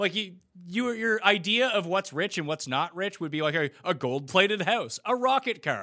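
A man's raised, projected voice, high-pitched, bright and sharp in tone, animated with lively intonation at a moderate pace. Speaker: podcast host. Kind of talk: casual banter. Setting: video call. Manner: animated, joking.

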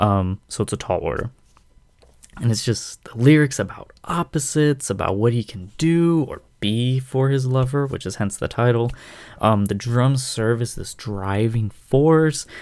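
In a normal speaking voice, a man of medium pitch talks at a fairly slow pace with ordinary pitch variation, on a very clean recording with a silent background. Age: 20s. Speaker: music podcast host. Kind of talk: solo casual music commentary.

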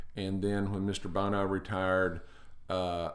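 A man's fairly low voice with a Texan accent and audible room echo. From Northeast Texas (Paris, Dallas area). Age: 50s. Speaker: retired firefighter and restaurant owner. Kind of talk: casual interview.

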